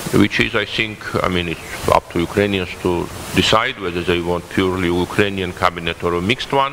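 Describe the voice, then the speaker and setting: Noticeable background noise surrounds a man with a Georgian accent and a very deep, low pitch. He talks at a fairly quick pace with ordinary pitch variation. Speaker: political analyst. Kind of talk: panel talk. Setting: conference panel. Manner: halting, many fillers.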